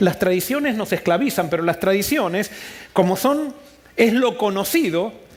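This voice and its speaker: This man's voice moves through very wide pitch swings. His pitch climbs and drops a great deal. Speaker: pastor. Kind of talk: sermon. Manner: fast.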